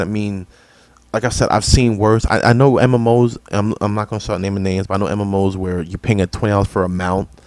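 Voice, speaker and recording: A man talks at a fairly quick pace with a plain, everyday voice. His pitch is fairly low and his intonation fairly even. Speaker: gaming streamer. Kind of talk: casual live stream commentary. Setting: live stream.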